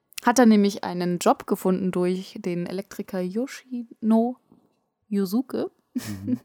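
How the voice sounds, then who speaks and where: Her tone is dark and mellow, from a woman at medium pitch. She uses ordinary pitch variation. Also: fairly slow pace, dry, close sound with no echo. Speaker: anime podcast co-host. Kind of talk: casual chat. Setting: sitting face to face, travel mic.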